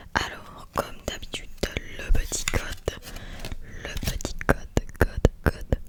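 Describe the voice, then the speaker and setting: Through noticeable background noise, a woman is whispering in a relaxed tone. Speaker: ASMR artist. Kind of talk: ASMR card-opening talk to camera. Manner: soft, repetitive, relaxed.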